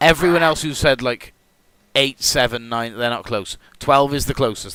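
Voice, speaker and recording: A man with a British accent speaks at a fairly quick pace, animated and bright, sharp in tone. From Britain. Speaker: gaming streamer and race host. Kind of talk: live stream commentary with viewers. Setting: live stream. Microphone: new mic setup.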